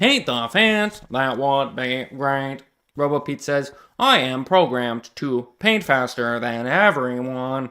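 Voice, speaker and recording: A man puts on a robotic character voice at a medium pitch. The recording is very clean, with a silent background. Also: fairly slow pace. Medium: read story. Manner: stiff, mechanical robot voice.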